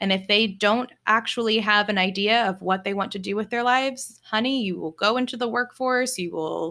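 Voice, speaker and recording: A woman with an American accent and a normal speaking voice, medium in pitch with ordinary variation, on a very clean recording with a silent background. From Virginia, US. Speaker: spiritual coach and podcast host. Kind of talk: solo podcast monologue.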